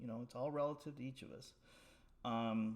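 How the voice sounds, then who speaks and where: A man talks, his pitch sitting at a medium level. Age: 60s. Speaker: powerlifter. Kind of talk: casual talk to camera. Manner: hesitant, many filler words.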